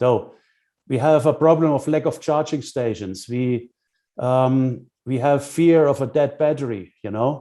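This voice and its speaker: Against a quiet background, a man with a German accent speaks at a fairly slow pace in a fairly high pitch, with ordinary pitch variation. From Germany. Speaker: business consultant. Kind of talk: lecture. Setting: webinar. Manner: halting, with many fillers.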